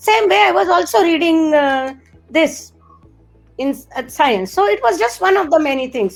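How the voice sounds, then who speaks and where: A high-pitched woman with a Marathi accent at a moderate pace, very wide pitch swings, and music in the background. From India, Marathi-speaking region. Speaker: particle physicist. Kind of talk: interview.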